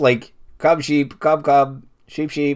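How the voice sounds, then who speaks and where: A man puts on a character voice at a fairly high pitch. His intonation is monotone and flat. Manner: calling to sheep.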